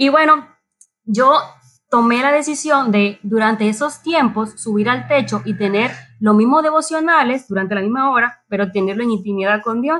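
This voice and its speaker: In an unremarkable speaking voice, a woman talks at a moderate pace, her fairly high pitch moving with ordinary variation. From Dominican Republic. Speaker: church member. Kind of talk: casual chat. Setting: remote from home.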